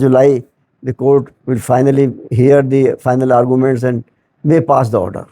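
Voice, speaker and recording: A dark, mellow tone at a moderate pace. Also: man. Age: 70s. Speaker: retired bank executive, pensioners' activist. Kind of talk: interview answer.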